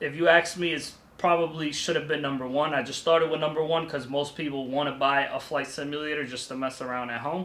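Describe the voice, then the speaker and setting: A man races along at a very fast pace with a fairly high pitch and fairly even intonation, over noticeable background noise. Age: 30s. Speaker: vlogger, student pilot. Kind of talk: vlog tutorial. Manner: casual.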